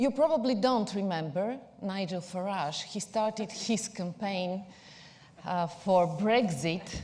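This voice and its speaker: A woman's somewhat breathy, dark, mellow voice in a Bulgarian accent, with lively intonation, a fairly slow pace and audible room echo. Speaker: PR agency executive. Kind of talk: conference talk.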